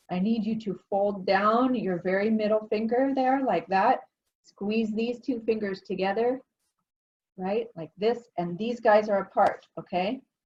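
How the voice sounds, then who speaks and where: A woman speaks at a fairly slow pace in a fairly high, somewhat breathy voice with fairly even intonation. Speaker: art teacher. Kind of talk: tutorial. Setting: home studio.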